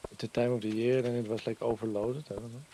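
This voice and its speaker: A man with a Dutch accent talks at a very fast pace. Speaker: streamer. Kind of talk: casual chat. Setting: livestream with webcam.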